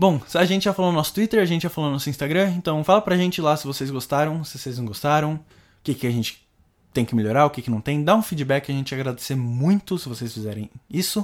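In a very clean recording with a silent background, a man talks very fast at a fairly high pitch with lively intonation. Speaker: podcast host. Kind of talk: casual chat.

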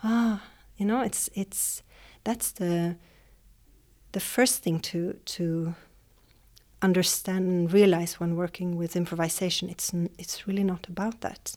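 A woman with a Swedish accent speaks at a medium pitch, a fairly slow pace and with fairly even intonation, leaving long, frequent pauses. The recording is very clean, with a silent background. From Sweden, Jönköping. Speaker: dance teacher. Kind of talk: interview. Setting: dance school. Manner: halting.

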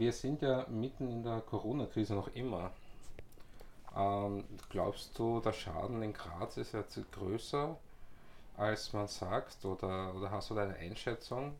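A man with a fairly low pitch at a very slow pace, long, frequent pauses and ordinary pitch variation. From Austria, Vienna. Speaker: podcast host. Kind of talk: casual interview. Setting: in person.

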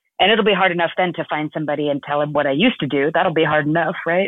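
Fast and low-pitched, a woman with an American accent speaks with ordinary pitch variation in a dry, close sound with no echo.

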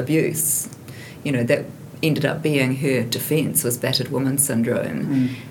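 Amid audible room echo and noticeable background noise, a woman with a New Zealand accent talks in a very deep, low voice with fairly even intonation. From New Zealand, Hamilton. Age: 50s. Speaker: investigative journalist. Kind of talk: casual chat.

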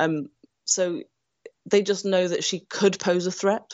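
Here is a woman with a Nottingham accent. Her pitch is fairly low. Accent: English Midlands (Nottingham). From England, Nottingham. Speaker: screenwriter. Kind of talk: interview.

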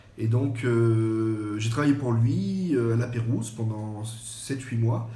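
A somewhat breathy man speaks at a medium pitch, with audible room echo around him. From French Riviera. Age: 40s. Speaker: chef. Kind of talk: podcast interview.

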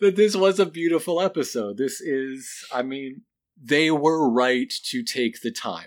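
Speech at a fairly slow pace carries lively intonation and a relaxed tone on a very clean recording with a silent background. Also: man, fairly high pitch for a man. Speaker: podcast co-host. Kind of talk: casual recap chat. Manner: relaxed, joking.

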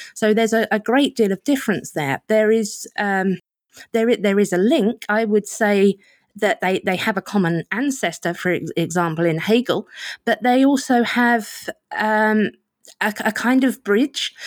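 A woman speaks in an Essex accent at a fairly high pitch, with ordinary pitch variation and a moderate pace. The sound is dry and close with no echo, and her loudness stays very even. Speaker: political and cultural writer, magazine editor. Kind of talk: casual interview conversation.

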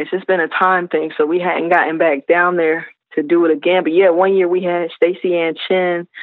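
In an American accent, a woman speaks at a moderate pace with a fairly low pitch and monotone, flat intonation. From South Carolina. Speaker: hip hop artist. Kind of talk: interview.

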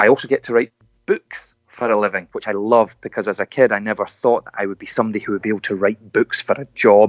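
A man with a Scottish accent talks very fast, his loudness rising and falling in big swings. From Scotland. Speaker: motivational speaker. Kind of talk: inspirational talk.

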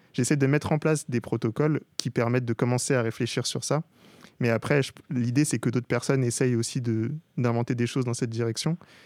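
A man's medium-pitched voice at a fairly quick pace with fairly even intonation, in a dry, close sound with no echo and a very clean recording with a silent background. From Paris suburbs, Gennevilliers housing estate. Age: 20s. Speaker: digital artist. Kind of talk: interview. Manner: hesitant, many fillers.

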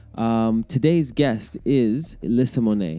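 A man with a Canadian accent speaks at a medium pitch with ordinary pitch variation while music plays in the background. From Canada. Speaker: podcast host. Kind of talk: casual chat.

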